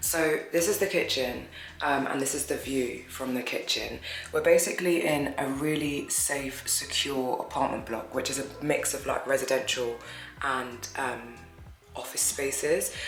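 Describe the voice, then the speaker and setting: With a British accent, a woman speaks at a fairly slow pace. The room has audible echo, and there is noticeable background noise. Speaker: travel vlogger. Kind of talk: casual vlog narration. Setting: indoors, apartment kitchen.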